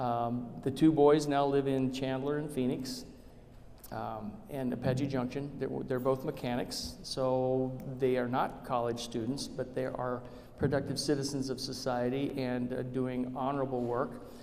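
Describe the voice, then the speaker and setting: A man with an American accent at medium pitch and a fairly slow pace, in a monotone, flat intonation, with audible room echo and noticeable background noise. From Arizona, Tucson. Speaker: state legislator. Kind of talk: public talk.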